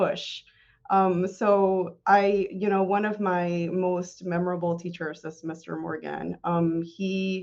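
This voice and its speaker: The speaker uses a monotone, flat intonation in a Spanish accent. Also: woman. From Tennessee (Morristown), early childhood in Tijuana. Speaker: city clerk. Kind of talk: interview.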